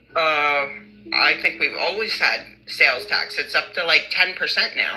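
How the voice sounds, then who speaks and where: A woman with a Philadelphia accent, over noticeable background noise. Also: fairly slow pace. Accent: Philly. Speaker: caller getting a reading. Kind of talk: casual chat.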